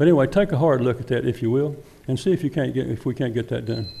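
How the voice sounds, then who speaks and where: Talking at a very fast pace with a Texas accent, a man uses a medium pitch, a dark, mellow tone, vocal fry and ordinary pitch variation. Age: 70s. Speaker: former city council member. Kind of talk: public comment at council meeting. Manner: halting, repetitive.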